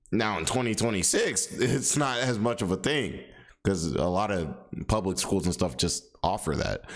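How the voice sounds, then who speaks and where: A man speaks at a moderate pace in a fairly low voice with vocal fry. His pitch swings very widely. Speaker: commentary streamer. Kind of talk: casual reaction commentary. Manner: many fillers, self-described poor speech; casual, repetitive restarts.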